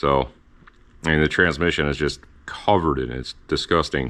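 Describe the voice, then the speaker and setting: The voice has vocal fry and fairly even intonation. It moves at a moderate pace. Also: man. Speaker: car restoration youtuber. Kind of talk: workshop video log.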